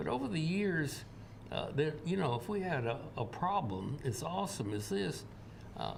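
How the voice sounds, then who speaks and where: A man with a Tennessee accent speaks with lively intonation. Audible room echo surrounds his voice. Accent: Southern US (Tennessee). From US South, Tennessee. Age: 80s+. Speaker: energy expert. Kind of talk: interview. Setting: TV studio. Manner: halting, many fillers.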